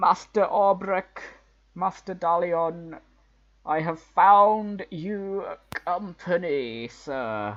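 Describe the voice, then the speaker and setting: Over a quiet background, a man speaks very slowly in a high-pitched, put-on character voice. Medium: actual play. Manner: formal, deferential.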